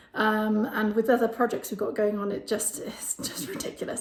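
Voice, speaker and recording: A fairly high-pitched woman with an English accent. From England. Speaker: home renovation vlogger. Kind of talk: casual vlog house tour. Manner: casual, many fillers.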